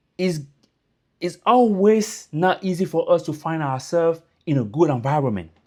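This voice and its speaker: The intonation is lively. The recording is very clean with a silent background. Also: man. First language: French. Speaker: YouTuber giving immigrant advice. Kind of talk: casual motivational talk to camera. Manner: informal, repetitive fillers.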